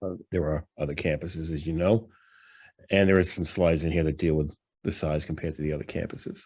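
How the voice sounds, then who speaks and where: Very fast and very deep, a man speaks in a New York accent on a very clean recording with a silent background. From New York, Long Island. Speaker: professor presenting financial analysis. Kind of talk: lecture presentation. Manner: casual, many fillers.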